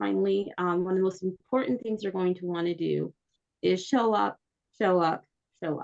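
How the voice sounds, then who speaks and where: A woman at a medium pitch with ordinary pitch variation, talking at a moderate pace. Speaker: church council staff trainer. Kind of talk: training presentation. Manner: hesitant with many fillers.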